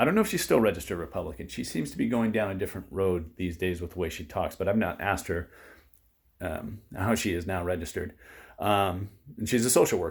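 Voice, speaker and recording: On a very clean recording with a silent background, a man with an American accent talks very fast in a fairly low, somewhat breathy voice with ordinary pitch variation. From California, US. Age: 40s. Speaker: political vlogger. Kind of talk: personal testimony monologue. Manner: hesitant, many fillers and repetitions.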